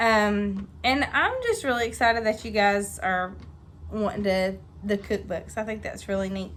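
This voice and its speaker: With a Southern US accent, a woman speaks at a moderate pace. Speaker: home cooking video host. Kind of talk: casual cooking tutorial. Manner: chatty, hesitant with many ums.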